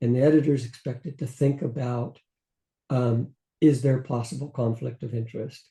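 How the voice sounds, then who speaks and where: In an American accent, the speaker has a dark, mellow tone that is somewhat breathy. Delivery is at a moderate pace with fairly even intonation. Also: man, medium pitch for a man. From US West (California, New Mexico). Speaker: journal editor-in-chief and microbiologist. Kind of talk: interview conversation. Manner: hesitant with repetitions.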